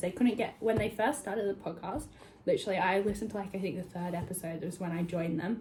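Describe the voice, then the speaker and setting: A woman speaks at a medium pitch with a dark, mellow tone and an Australian accent. Her voice is somewhat breathy, with ordinary pitch variation. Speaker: vlogger. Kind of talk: casual vlog chat. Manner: fast, chatty.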